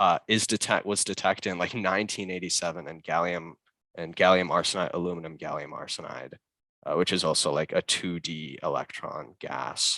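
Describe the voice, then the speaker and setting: The sound is dry and close with no echo, over a quiet background. A man speaks at a fairly quick pace. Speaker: student presenter. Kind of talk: conference presentation. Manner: fast; hesitant with many fillers.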